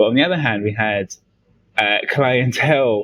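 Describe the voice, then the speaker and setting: Speech unfolds at a moderate speed. The pitch moves up and down in a typical manner. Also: man. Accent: London. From London, England. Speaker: distiller. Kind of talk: interview.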